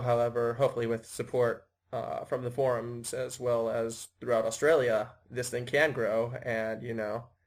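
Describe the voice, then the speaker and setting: In an American accent, an ordinary speaking voice moves at a moderate pace with fairly even intonation. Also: man. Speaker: podcast host and organizer. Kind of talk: casual self-introduction.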